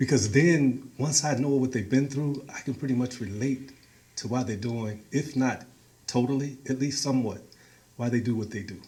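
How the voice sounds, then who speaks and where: In a dark, mellow tone, a somewhat breathy man with an American accent talks at a medium pitch and a moderate pace, with fairly even intonation. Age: 60s. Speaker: community organizer. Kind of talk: talk to a meeting.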